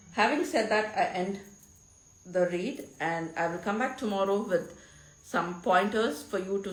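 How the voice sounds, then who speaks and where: Amid noticeable background noise and audible room echo, a woman at medium pitch talks at a fairly slow pace with ordinary pitch variation. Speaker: tarot reader, spiritual guide. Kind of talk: tarot reading monologue. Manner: halting.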